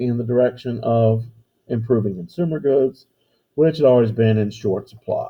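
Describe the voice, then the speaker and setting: Talking at a fairly quick pace, a man uses a normal speaking voice at a medium pitch. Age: 60s. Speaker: history teacher. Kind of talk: lecture. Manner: casual, conversational.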